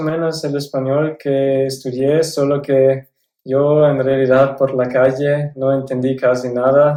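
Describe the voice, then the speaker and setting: With a German accent, a man speaks very slowly in a dark, mellow tone. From South Tyrol, Italy. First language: German (speaking Spanish). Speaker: former exchange student. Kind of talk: interview. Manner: some hesitations.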